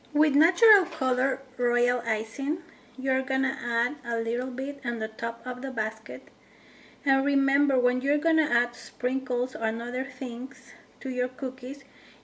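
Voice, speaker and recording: Speaking at a fairly slow pace with a non-native accent, this voice keeps a fairly even intonation. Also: woman, high pitch for a woman. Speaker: cookie decorating instructor. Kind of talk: tutorial. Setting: home kitchen.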